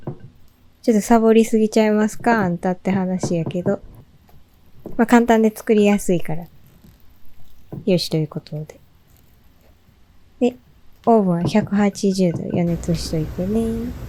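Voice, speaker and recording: Speaking at a moderate pace with long, frequent pauses, a woman with a Kansai accent uses a medium pitch and ordinary pitch variation. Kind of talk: casual baking tutorial narration. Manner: casual, chatty.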